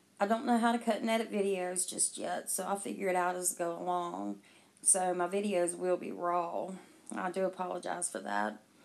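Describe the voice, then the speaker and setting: A woman speaks in a Southern US accent at a medium pitch. Her pitch varies in an ordinary way. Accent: southern drawl. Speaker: conspiracy commentary YouTuber. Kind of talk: casual commentary with reading aloud. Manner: casual, halting with fillers.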